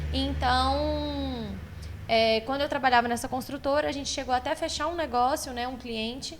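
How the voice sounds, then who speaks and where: Her pitch is high, and it varies in an ordinary way. The woman keeps a moderate pace. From Belo Horizonte, Brazil (born in Maranhão, moved at 10). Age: 30s. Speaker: furniture store owner. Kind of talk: podcast interview.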